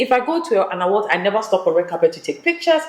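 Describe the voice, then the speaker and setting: This woman talks at a very fast pace in a fairly high pitch with very wide pitch swings, over noticeable background noise. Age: 40s. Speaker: media entrepreneur. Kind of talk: casual interview chat.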